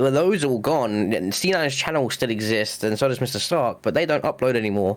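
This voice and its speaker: Speaking at a fairly quick pace with hardly any pauses, a man with an English accent uses lively intonation at a medium pitch. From England. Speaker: podcast co-host. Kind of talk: casual chat.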